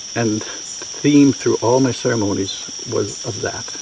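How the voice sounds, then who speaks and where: Over noticeable background noise, a man speaks with a Canadian accent. His intonation is monotone and flat. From Saskatchewan, Canada. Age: 70s. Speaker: retreat participant, addiction counselor. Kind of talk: testimony.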